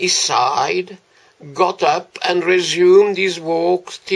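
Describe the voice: Text is given as plain reading aloud. Nothing beyond that is added to the read.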